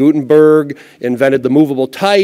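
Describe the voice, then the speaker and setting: Over a quiet background, a man with an American accent and a dark, mellow tone speaks with lively intonation. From US Midwest. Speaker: book publisher and university lecturer; conference speaker. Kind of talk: conference talk. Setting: stage with audience. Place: stage.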